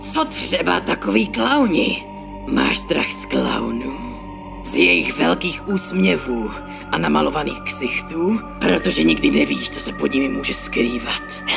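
Over loud background music, a man performs a put-on character voice. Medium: dub. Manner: menacing, taunting.

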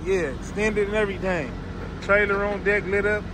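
Noticeable background noise surrounds a man speaking at a moderate pace with a high pitch. The sound is dry, with no echo. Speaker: truck vlogger filming. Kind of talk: casual vlog chat. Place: station. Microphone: phone near.

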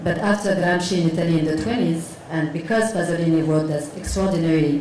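A woman talks at a fairly quick pace with a fairly low pitch. There is light background noise and audible room echo. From Morocco. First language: Moroccan Arabic. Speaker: visual artist. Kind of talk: panel discussion. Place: hall. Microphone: handheld.

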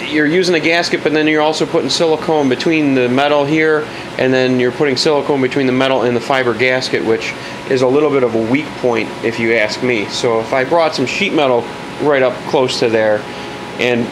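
Noticeable background noise runs under a man talking at a fairly quick pace. His loudness stays very even, and his pitch varies in an ordinary way. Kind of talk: tutorial. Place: garage.

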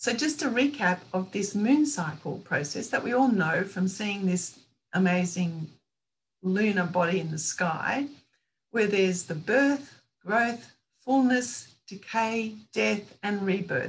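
Somewhat breathy, a woman speaks at a fairly slow pace with an Australian accent. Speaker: author and women's spirituality teacher. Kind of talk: presentation to online roundtable. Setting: video call. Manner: calm. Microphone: video call.

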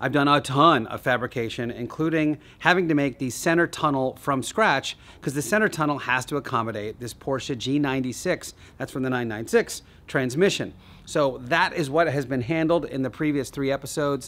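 A man's bright, sharp tone moves at a fairly quick pace with ordinary pitch variation. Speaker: car build channel host. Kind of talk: casual vlog chat. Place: garage.

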